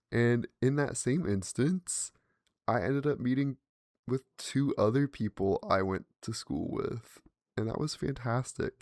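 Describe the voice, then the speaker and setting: Mumbling man at a medium pitch, animated in tone and fairly slow, in a dry, close sound with no echo and a very clean recording over a silent background. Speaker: podcast host. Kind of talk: casual monologue.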